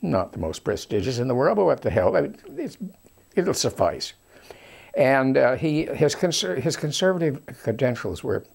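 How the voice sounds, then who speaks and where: Vocal fry runs through this man's voice, which makes very wide pitch swings at a moderate pace. The recording is very clean, with a silent background. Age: 80s+. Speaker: political commentator. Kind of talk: storytelling monologue. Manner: halting, many fillers.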